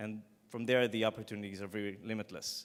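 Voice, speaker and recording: A man with an Israeli accent at a fairly quick pace, on a very clean recording with a silent background. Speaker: startup founder. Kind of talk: pitch presentation.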